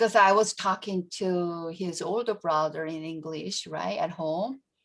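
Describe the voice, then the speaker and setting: Speaking at a fairly slow pace, a woman with a fairly low pitch talks in a Korean accent. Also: ordinary pitch variation. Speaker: education professor. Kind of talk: panel Q&A. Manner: halting, many fillers.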